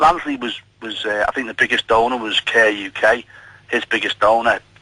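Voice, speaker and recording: A man with a Liverpool accent speaks with fairly even intonation. Noticeable background noise runs underneath. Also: medium pitch for a man, moderate pace. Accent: Scouse. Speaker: nurse, caller. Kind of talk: radio phone-in.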